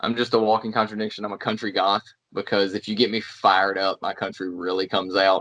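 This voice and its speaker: With a North Carolina accent, a man speaks at a very fast pace in a fairly low pitch and a monotone, flat intonation. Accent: North Carolina Southern. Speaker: pro wrestler. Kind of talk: casual chat.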